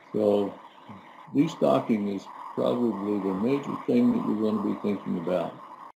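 With lively intonation and a fairly low pitch, a man talks at a moderate pace over noticeable background noise. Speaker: extension rangeland specialist. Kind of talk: educational conversation. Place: office. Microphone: webcam.

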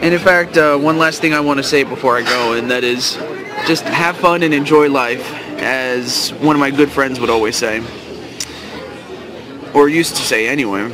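Against crowd noise in the background, a man speaks at a moderate pace with ordinary pitch variation and long, frequent pauses, the sound dry with no echo. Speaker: vlogger. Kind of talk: casual vlog chat. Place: cafe. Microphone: phone near.

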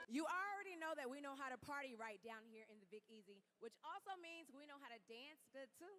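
A woman speaks in a raised, projected voice with an American accent. Her pitch swings very widely over faint music in the background. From Louisiana, United States. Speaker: TV and live event host, entertainment and sports reporter. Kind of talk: arena announcer, PA-style crowd hype. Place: stadium. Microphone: handheld.

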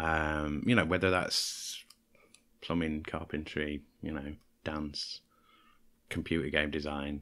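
Very slow and marked by long, frequent pauses, a man's very deep, low voice has a bright, sharp tone and a monotone, flat intonation. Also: very clean recording, silent background. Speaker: podcast host. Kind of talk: casual chat.

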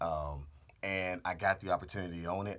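The man's voice sits at a very deep, low pitch. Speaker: car channel host. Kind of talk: casual vlog chat. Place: booth. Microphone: studio mic.

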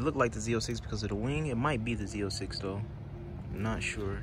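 Noticeable background noise sits under a man speaking at a moderate pace in a dry sound with no echo. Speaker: car flipper vlogger. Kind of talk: casual vlog chat. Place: open country. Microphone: phone near.

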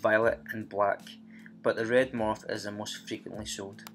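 Music plays in the background as a man with a Scottish accent speaks at a fairly slow pace. His pitch is medium and his intonation fairly even. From Scotland. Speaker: fish hobbyist vlogger. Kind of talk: casual vlog narration.

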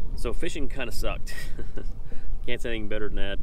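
A man speaks in a dry sound with no echo, with noticeable background noise. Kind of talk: casual vlog chat. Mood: relaxed, joking. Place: boat. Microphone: phone near.

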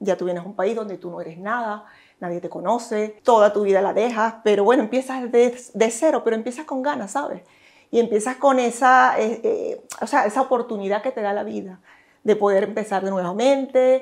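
Showing big swings in loudness, a woman with an unremarkable speaking voice speaks at a fairly high pitch with ordinary pitch variation. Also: fairly quick pace, quiet background. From Venezuela. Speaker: gynecologist; interviewee. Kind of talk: interview. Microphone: lapel.

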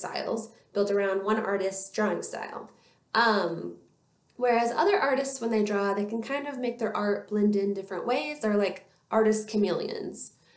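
A woman speaks with ordinary pitch variation amid audible room echo. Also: moderate pace. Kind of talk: educational talk to camera. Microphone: webcam.

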